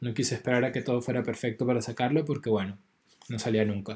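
Here a man speaks in a dark, mellow tone. He sounds somewhat breathy. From Venezuela. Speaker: podcast host and audiovisual artist. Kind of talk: scripted narration; casual chat.

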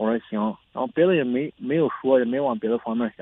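This man talks at a fairly quick pace, his pitch medium with ordinary variation. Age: 30s. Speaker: caller, construction worker. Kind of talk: call-in advice show. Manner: halting, hesitant.

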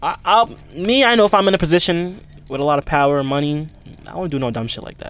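A man's fairly high voice at a very fast pace, with lively intonation and big swings in loudness. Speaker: podcast co-host. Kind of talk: casual chat. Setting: outdoors.

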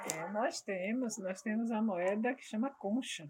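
In a plain, everyday voice, a woman speaks at a moderate pace and medium pitch with ordinary pitch variation. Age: 60s. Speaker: samba de roda group coordinator. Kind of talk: interview.

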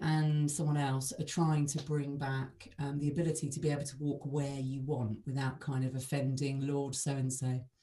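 A woman speaks with a very deep, low pitch and a dark, mellow tone. Her voice is somewhat breathy. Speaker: podcast host. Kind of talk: casual interview chat.

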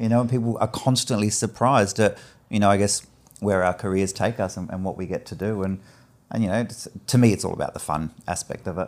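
In an Australian accent, a man speaks at a very fast pace with a fairly low pitch. The recording is very clean, with a silent background. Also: fairly even intonation. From Adelaide, South Australia (Greek Cypriot family, emigrated as infant). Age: 40s. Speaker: hairdresser and barbering educator. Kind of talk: casual chat.

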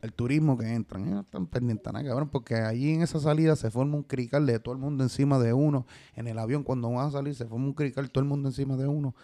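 Very clean and silent in the background, this recording has a man speaking at a very fast pace. His tone is dark and mellow. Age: 30s. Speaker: artist manager. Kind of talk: casual chat.

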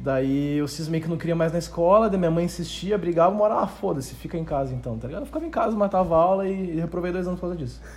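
Over noticeable background noise, a man with a high pitch speaks at a very fast pace with hardly any pauses and ordinary pitch variation. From southern Brazil, Rio Grande do Sul (Novo Hamburgo). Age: 20s. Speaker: YouTube affiliate marketing entrepreneur. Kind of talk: casual interview chat.

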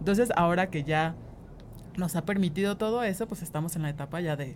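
With music in the background, a woman talks at a fairly quick pace and a fairly low pitch, with ordinary pitch variation. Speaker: designer and singer. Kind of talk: casual interview.

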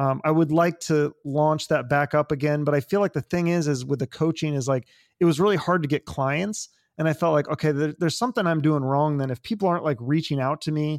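A man's fairly high voice with an American accent, a plain, everyday voice, ordinary pitch variation and a fairly quick pace, on a very clean recording with a silent background and a dry, close sound with no echo. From US Pacific Northwest, Issaquah near Seattle. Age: 40s. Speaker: podcast host. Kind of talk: casual interview chat.

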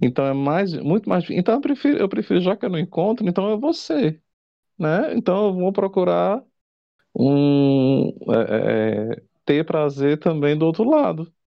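A man talks at a fairly slow pace in a high pitch with very wide pitch swings. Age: 40s. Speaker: drag performer and crossdresser. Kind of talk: casual chat.

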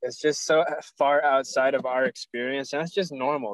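The sound is dry and close with no echo as a man talks at a fairly quick pace. He has an unremarkable speaking voice with a fairly high pitch. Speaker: podcast co-host. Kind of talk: casual chat.

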